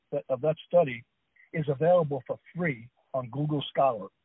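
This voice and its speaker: A man's fairly high-pitched voice, an ordinary speaking voice with ordinary pitch variation. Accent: American. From New Jersey. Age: 60s. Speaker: author and food scientist. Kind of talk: radio interview. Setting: phone call.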